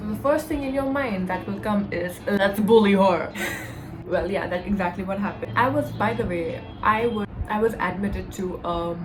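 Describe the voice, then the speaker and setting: A woman with an Indian accent speaks at a moderate pace with lively intonation. Noticeable background noise and audible room echo are present. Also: medium pitch for a woman. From India (Delhi). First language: Hindi. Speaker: YouTuber. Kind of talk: storytime vlog. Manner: casual, filler-heavy.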